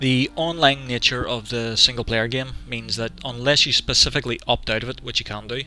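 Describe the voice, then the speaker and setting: Faint music plays in the background of a dry recording with no echo. A man talks at a fairly quick pace with fairly even intonation and hardly any pauses. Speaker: video game reviewer. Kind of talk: video game review narration. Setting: home recording, lower-quality microphone.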